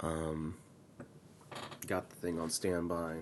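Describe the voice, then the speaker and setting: A soft-spoken man with a very deep, low pitch, at a very slow pace. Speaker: gaming video creator. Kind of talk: live reaction commentary. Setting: home recording at 6 AM. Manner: soft-spoken, talking quietly.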